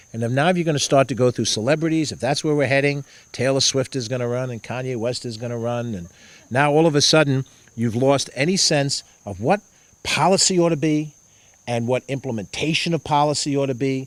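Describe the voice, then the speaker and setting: Speaking at a fairly quick pace, a man with a New York accent uses a medium pitch and ordinary pitch variation. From Mount Vernon, New York, US. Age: 60s. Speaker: politician. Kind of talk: campaign talk. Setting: house party with audience.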